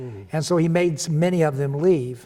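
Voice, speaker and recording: With a Midwestern American accent, a man talks at a moderate pace in a fairly high pitch. His tone is dark and mellow, with ordinary pitch variation. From Kansas City, Kansas. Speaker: retired state legislator. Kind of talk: interview answer. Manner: enthusiastic.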